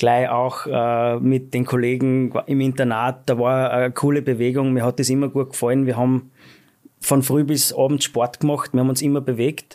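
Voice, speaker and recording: In a very clean recording with a silent background, a man with a dark, mellow tone speaks at a moderate pace in a monotone, flat intonation and very even loudness. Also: medium pitch for a man. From Austria, Schladming (Styria). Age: 30s. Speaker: ski company executive. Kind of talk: interview. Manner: hesitant, many fillers.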